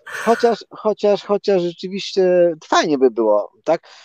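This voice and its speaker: Speaking at a very slow pace, a man uses a high pitch and lively intonation, heard in a dry, close sound with no echo. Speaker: former competitive runner, glacier hiker. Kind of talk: casual interview.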